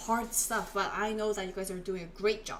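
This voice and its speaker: A voice with a Korean accent comes through audible room echo and noticeable background noise. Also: woman. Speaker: Korean language teacher. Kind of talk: live online language lesson.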